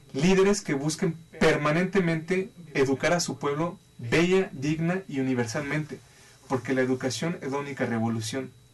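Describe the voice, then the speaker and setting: In a plain, everyday voice, a man talks at a moderate pace with fairly high pitch and ordinary pitch variation. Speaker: life and financial advisor. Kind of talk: talk show interview.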